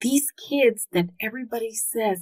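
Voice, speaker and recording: Somewhat breathy and fairly high in pitch, a woman with an American accent speaks at a very slow pace with ordinary pitch variation. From came to US at age four from another country. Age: 50s. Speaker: homeschooling podcast host. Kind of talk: podcast monologue.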